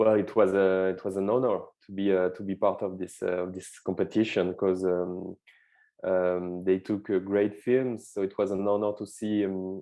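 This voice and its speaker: Keeping a monotone, flat intonation, a man with a French accent speaks at a moderate pace and a fairly low pitch. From France, suburbs of Lyon. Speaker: film director. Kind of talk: interview. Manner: halting, many fillers and repeats.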